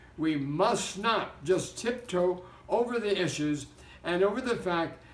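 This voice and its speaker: Audible room echo surrounds a man's high-pitched voice, which moves at a very slow pace with ordinary pitch variation. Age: 80s+. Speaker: pastor. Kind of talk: exhortation.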